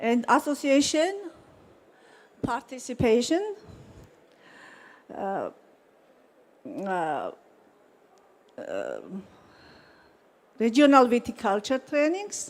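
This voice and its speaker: Very slowly and with long, frequent pauses, a woman with a high voice and a Georgian accent speaks in very wide pitch swings. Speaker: wine company owner. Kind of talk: conference presentation. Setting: conference hall. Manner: halting.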